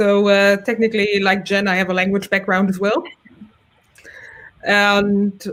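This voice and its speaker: This is a woman speaking with a German accent. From Germany. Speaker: front-end developer, community chapter leader. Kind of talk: casual chat.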